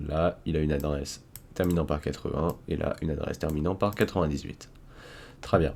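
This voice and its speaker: This man speaks with a French accent at a moderate pace. His pitch is very deep and low. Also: fairly even intonation. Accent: self-described poor English pronunciation. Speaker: cybersecurity tutorial youtuber. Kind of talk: screen-recorded coding tutorial. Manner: casual, with fillers and restarts.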